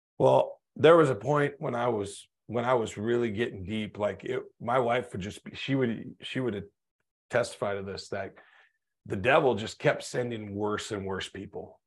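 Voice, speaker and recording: Here a man with an American accent and a normal speaking voice talks at a moderate pace and medium pitch, with ordinary pitch variation and big swings in loudness. The recording is very clean, with a silent background. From North Dakota, US. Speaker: motivational speaker and business consultant. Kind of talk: interview, personal testimony.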